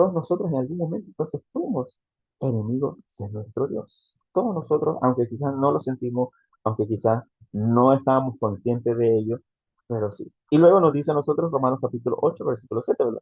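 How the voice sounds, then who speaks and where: A man's medium-pitched, somewhat breathy voice at a fairly quick pace, with an animated tone. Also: ordinary pitch variation. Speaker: preacher. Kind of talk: sermon. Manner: fast.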